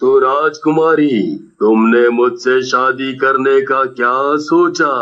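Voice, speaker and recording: A man performs a put-on character voice at medium pitch. He delivers it at a very slow pace. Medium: read story.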